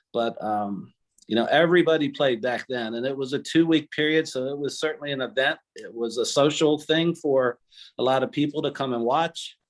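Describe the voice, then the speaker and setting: Fairly high pitch for a man, a normal speaking voice, ordinary pitch variation and a moderate pace. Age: 60s. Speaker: attorney and tennis player. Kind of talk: interview reminiscence.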